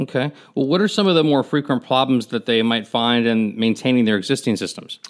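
A man with a normal speaking voice, medium pitch, ordinary pitch variation, very even loudness and a fairly quick pace. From Miami, Florida. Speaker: podcast host. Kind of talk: interview.

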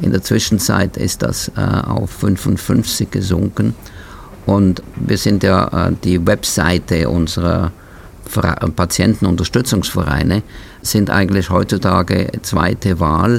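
Over noticeable background noise, a man with a very deep, low pitch speaks at a very slow pace, with ordinary pitch variation and very even loudness. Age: 70s. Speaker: podcast host and patient advocate. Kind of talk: casual interview chat. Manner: halting.

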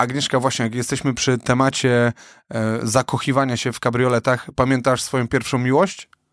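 On a very clean recording with a silent background and a dry, close sound with no echo, a man at medium pitch talks fairly quickly in a monotone, flat intonation. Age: young. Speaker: podcast co-host and event host. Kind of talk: casual chat. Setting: studio.

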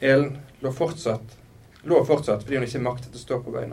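The voice reads without strain. Its intonation holds fairly even.

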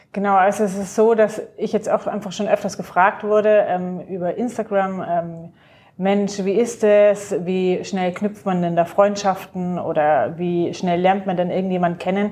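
A woman's dark, mellow voice at medium pitch, fairly slow pace and fairly even intonation. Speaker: podcast host. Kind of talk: casual chat.

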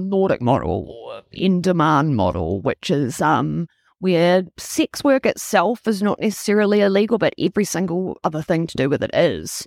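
A woman with a slight New Zealand accent at a moderate pace with hardly any pauses, dry, close sound with no echo, on a very clean recording with a silent background. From Toronto, Canada, then Wellington, New Zealand. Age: 30s. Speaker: sex worker and advocate. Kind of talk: casual interview chat. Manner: frank, outspoken, passionate.

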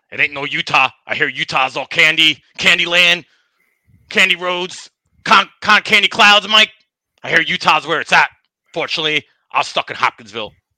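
A man uses a put-on character voice with a high pitch and an angry tone, speaking at a moderate pace. He leaves long, frequent pauses, and the sound is dry and close, with no echo. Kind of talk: casual, rambling.

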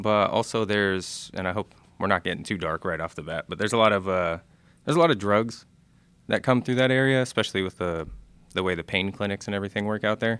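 This man speaks at a fairly quick pace with a Florida accent. The recording is very clean, with a silent background. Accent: American, Florida. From Florida, Clearwater near Tampa. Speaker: Air Force aircraft maintainer. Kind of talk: casual interview.

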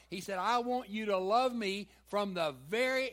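In a very clean recording with a silent background, a man speaks very slowly in a Southern US accent. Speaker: pastor. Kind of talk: sermon. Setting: church.

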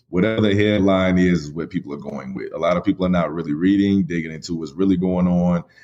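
A man talks at a very fast pace. His pitch is very deep and low, with ordinary variation. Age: 30s. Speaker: podcast host, guest. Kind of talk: interview.

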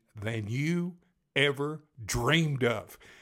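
A man with a Texas accent speaks at a medium pitch with lively intonation, on a very clean recording with a silent background. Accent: Texas accent, noticeable. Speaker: podcast storyteller. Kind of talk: storytelling, casual personal anecdote. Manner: casual, conversational, folksy with filler words.

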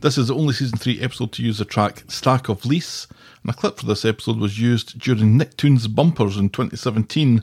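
A man with a Scottish accent speaks very fast at a medium pitch, somewhat breathy, with ordinary pitch variation. The recording is very clean with a silent background and a dry, close sound with no echo. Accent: Scottish, noticeable. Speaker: podcast co-host. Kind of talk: casual chat.

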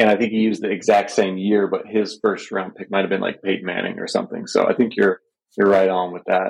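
A man talks at a very fast pace in a fairly low pitch. His intonation stays monotone and flat. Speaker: fantasy football site owner. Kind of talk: casual chat. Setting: hotel bathroom, video call.

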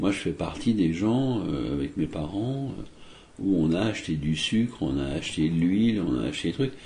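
A man speaks at a moderate pace in a very deep, low voice with a dark, mellow tone, somewhat breathy, his pitch swinging very widely. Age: 60s. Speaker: magician. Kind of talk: interview. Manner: hesitant, many fillers.

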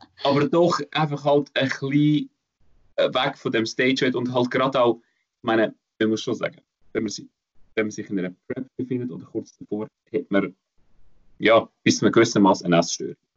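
Speaking at a moderate pace, a man with a medium pitch and ordinary pitch variation leaves long, frequent pauses. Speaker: fitness podcast host. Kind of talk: casual chat.

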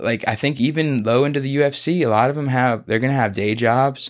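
A man with an American accent speaks in a normal speaking voice at a fairly quick pace. His pitch is medium with ordinary pitch variation, over a quiet background. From US South, Florida Panhandle (Pace, Pensacola). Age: 20s. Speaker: MMA fighter. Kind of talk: casual chat. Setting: studio.

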